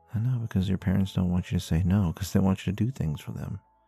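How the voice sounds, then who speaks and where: Over background music, a man speaks in a gentle tone at a very deep, low pitch with ordinary pitch variation. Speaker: ASMR roleplay creator. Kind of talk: ASMR comfort roleplay. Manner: gentle, soft-spoken, reassuring.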